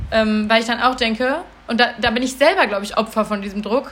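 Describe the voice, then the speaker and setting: Fairly high female voice, moderate in speed, its pitch varying in an ordinary way. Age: 20s. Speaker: podcast co-host, cat rescuer. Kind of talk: casual chat. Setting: recording at home with co-host in the room.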